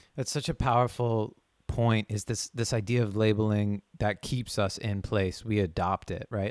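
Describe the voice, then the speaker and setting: On a very clean recording with a silent background and a dry, close sound with no echo, a man with a fairly low pitch speaks at a moderate pace with fairly even intonation in an unremarkable speaking voice. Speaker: podcast host. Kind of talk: casual interview.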